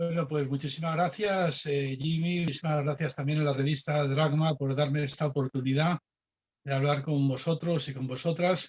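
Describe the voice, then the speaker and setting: A man talks at a moderate pace in a somewhat breathy voice. His loudness stays very even, and his intonation is monotone and flat. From Spain. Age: 60s. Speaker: philosophy professor. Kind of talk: lecture. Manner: hesitant with fillers.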